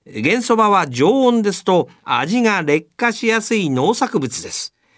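A man with a high pitch and very wide pitch swings, against a quiet background. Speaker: radio host. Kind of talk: scripted narration.

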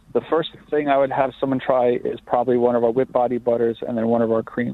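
With a Long Island accent, a man talks at a very fast pace in a flat monotone at medium pitch, over noticeable background noise. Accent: Long Island New York. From Long Island, New York. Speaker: skincare company co-founder. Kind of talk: interview.

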